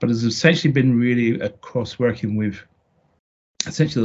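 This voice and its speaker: With a British accent, a man speaks at a fairly quick pace and medium pitch. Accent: British accent, noticeable. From UK. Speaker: marketing consultant. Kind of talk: podcast interview. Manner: halting, many fillers and restarts.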